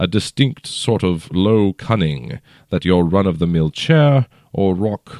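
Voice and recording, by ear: Lively intonation comes through as the speaker is reading aloud in a natural voice.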